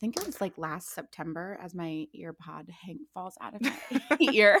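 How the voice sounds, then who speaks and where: A woman with an American accent speaks at a moderate pace with a fairly low pitch and vocal fry. The recording is very clean, with a silent background. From Ohio, US Midwest. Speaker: entertainment industry worker and social media creator. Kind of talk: casual chat.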